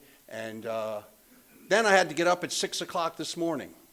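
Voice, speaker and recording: A man speaks in a plain, everyday voice with lively intonation. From Pennsylvania. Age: 60s. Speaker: AA speaker. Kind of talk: recovery testimony talk. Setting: meeting room with live audience. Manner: casual, conversational with many fillers.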